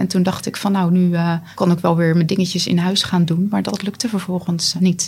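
A woman with a fairly low voice talks at a fairly quick pace in a flat monotone, with hardly any pauses and noticeable background noise. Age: 30s. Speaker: long covid patient. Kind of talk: interview.

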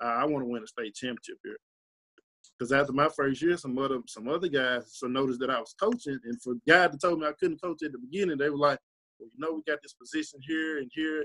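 Talking at a very fast pace with a Mississippi accent, a man swings widely in loudness, recorded with a dry, close sound and no echo. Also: fairly high pitch for a man, ordinary pitch variation. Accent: US South, Mississippi. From Mississippi (Tunica). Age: 20s. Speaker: high school football coach. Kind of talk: interview.

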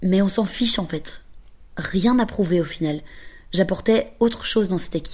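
A woman's somewhat breathy, dark and mellow voice at a fairly low pitch, with ordinary pitch variation and a moderate pace. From Belgium. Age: 20s. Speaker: podcaster. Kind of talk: scripted narration.

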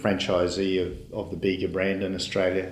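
A man with a New Zealand accent speaks at fairly low pitch, with audible room echo. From New Zealand (Auckland). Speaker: dairy company CEO. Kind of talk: interview.

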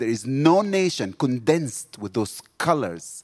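A man with an Egyptian accent at medium pitch and moderate pace, his pitch swinging very widely, with music in the background. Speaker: missionary. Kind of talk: sermon. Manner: animated.

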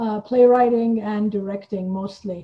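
Somewhat breathy and dark, mellow in tone, a woman's fairly high voice moves at a moderate pace. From Iran. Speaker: playwright and theater founder. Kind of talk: casual interview chat.

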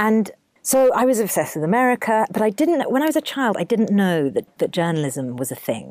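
A woman's fairly high voice in a southern English accent, with very wide pitch swings. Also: very clean recording, silent background. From southern England. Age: 30s. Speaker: TV correspondent and documentary producer. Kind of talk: interview.

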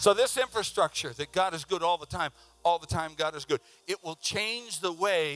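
Here a man speaks in a high pitch with an animated tone. His moderate pace comes through a dry, close sound with no echo. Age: 60s. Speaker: preacher. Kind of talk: sermon. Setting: church with congregation.

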